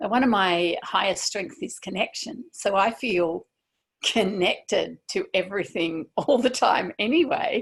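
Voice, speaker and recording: With a fairly high pitch and very wide pitch swings, a woman speaks at a fairly slow pace in a somewhat breathy voice. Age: 60s. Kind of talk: interview answer. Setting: video call.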